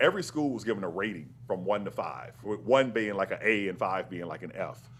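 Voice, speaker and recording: This is a man. He speaks with an American accent. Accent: Southern accent, deliberately toned down. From US South, Mississippi. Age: 50s. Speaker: astrophysicist and author. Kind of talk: interview conversation.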